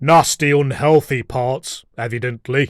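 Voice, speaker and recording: Using a put-on character voice, a man speaks at a fairly slow pace in a medium pitch. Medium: read story. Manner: vulgar.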